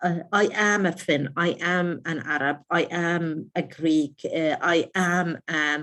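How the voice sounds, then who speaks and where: A woman talks at a very slow pace with hardly any pauses, her fairly low voice keeping a fairly even intonation. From raised abroad (Middle East, Cyprus). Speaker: webinar speaker. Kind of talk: webinar presentation. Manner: hesitant, many fillers and restarts.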